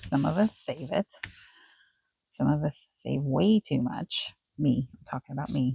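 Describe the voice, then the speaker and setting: A soft-spoken, somewhat breathy voice with a dark, mellow tone at a fairly slow pace. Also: woman, dry, close sound with no echo. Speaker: crafting video maker. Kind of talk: craft tutorial.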